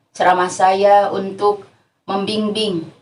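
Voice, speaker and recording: A woman with a West Javanese accent talks at a fairly slow pace. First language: Sundanese (speaking Indonesian). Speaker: female Islamic preacher. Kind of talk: religious lecture.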